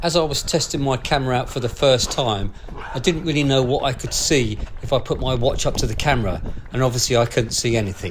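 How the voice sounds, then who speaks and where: Against noticeable background noise, a man of medium pitch speaks at a very fast pace with ordinary pitch variation. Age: 60s. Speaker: amateur runner and video blogger. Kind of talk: scripted narration.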